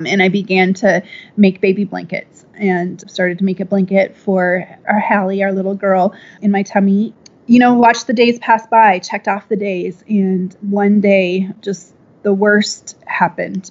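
Speaking in an American accent, a woman keeps a medium pitch and a flat, monotone delivery at a fairly slow pace. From Minnesota, US Midwest. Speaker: clothing company founder. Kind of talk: interview.

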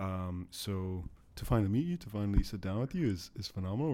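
A man's fairly quick, playful delivery with a dark, mellow tone, in a very clean recording with a silent background. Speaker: podcast host. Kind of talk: casual banter chat. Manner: joking, playful.

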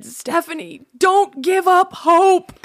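This is a loud, put-on character voice. The pitch is extremely high. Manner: encouraging, earnest.

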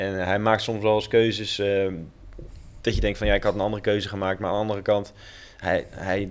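A man's fairly low-pitched voice in a monotone, flat intonation. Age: 30s. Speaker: professional footballer. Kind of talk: casual chat. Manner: halting.

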